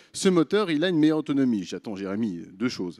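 Over a quiet background, a man with a fairly high voice talks at a moderate pace, his pitch swinging very widely. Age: 30s. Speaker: startup founder and CEO. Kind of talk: pitch presentation. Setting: stage with audience. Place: stage. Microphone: handheld.

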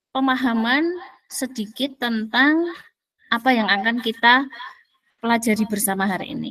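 Bright and sharp in tone, the speech moves at a moderate pace with ordinary pitch variation and long, frequent pauses. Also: woman. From Magelang, Central Java. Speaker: community organizer and emcee. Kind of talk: webinar presentation. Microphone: headset.

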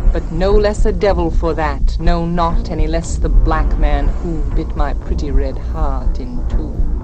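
With music in the background, a woman speaks fairly slowly in a very deep, low pitch, with monotone, flat intonation and hardly any pauses. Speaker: poet. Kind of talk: poetry reading.

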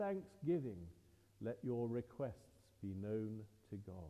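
At a fairly slow pace, a man talks in a dark, mellow tone. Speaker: priest leading service. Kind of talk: liturgy and prayer. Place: church.

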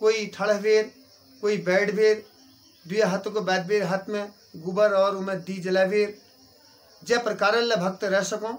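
Speaking at a fairly slow pace with long, frequent pauses, a man keeps his high voice monotone and flat. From Uttarakhand. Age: 40s. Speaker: temple priest. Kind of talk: interview. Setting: outdoors at a temple. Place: home room. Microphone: phone near.

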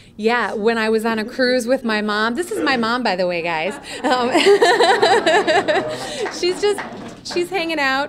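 Over noticeable background noise, a woman with a high-pitched voice speaks fairly slowly, swinging very widely in pitch and stopping often for long pauses. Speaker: voice actor. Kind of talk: guest talk to students. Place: classroom. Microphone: podium.

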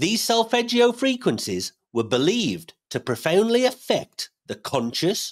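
A man's very wide pitch swings at a fairly slow pace, over a quiet background. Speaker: podcast host. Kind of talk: podcast host introduction. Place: home room. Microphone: studio mic.

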